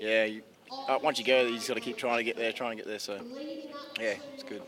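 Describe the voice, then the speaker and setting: A man with an Australian accent, medium pitch and flat, monotone intonation, talking very fast amid noticeable background noise. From South Australia. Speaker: athlete, speed skater. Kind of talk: casual interview. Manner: brief, laid-back answers.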